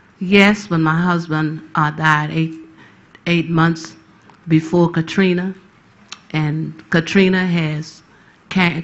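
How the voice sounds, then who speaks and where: A woman speaks with an American accent. Her pitch is fairly low and her intonation fairly even. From New Orleans, Louisiana. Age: 60s. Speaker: hurricane survivor witness. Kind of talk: testimony. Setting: tribunal hearing.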